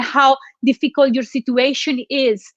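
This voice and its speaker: A woman with a Colombian accent speaks in a high voice, the sound dry and close with no echo and the background quiet. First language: Spanish. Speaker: motivational speaker. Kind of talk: motivational talk. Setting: live online broadcast with room audience.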